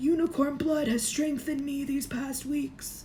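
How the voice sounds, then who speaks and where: A woman puts on a character voice. Clear background noise can be heard behind her. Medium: read story. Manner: menacing.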